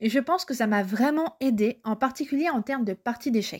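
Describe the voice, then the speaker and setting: Recorded very cleanly over a silent background, a woman talks at a fairly quick pace in a normal speaking voice. Her pitch is fairly high, with ordinary variation. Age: 20s. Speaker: book and culture blogger. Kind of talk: recorded review monologue.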